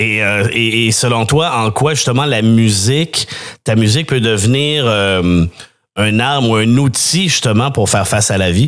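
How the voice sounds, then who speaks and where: A man with a plain, everyday voice speaks at a fairly slow pace in a medium pitch. His loudness stays very even, and his pitch varies in an ordinary way. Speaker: interviewer. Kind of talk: interview questions.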